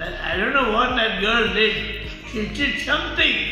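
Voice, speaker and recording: A man speaks in a raised, projected voice with strong room echo. Clear music plays in the background. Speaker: vaccine recipient. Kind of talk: interview answer. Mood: pleased, appreciative. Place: hall. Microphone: phone near.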